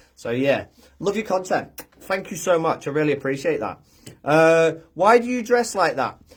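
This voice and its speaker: A man speaks with an American accent at a moderate pace. His intonation is lively. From UK. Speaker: social media content creator, cosplayer. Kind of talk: casual livestream chat reading comments. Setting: Facebook live video. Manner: hesitant, lots of fillers.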